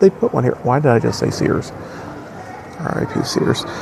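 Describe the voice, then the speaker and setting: Speaking quietly with an American accent, a man uses lively intonation over noticeable background noise. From US Midwest, Wisconsin. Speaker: travel vlogger. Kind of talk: casual vlog chat. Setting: airport terminal. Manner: hesitant with many fillers.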